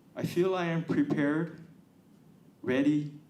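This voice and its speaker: A man speaks with audible room echo. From Hawaii, Honolulu. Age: 60s. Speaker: political candidate. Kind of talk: campaign speech.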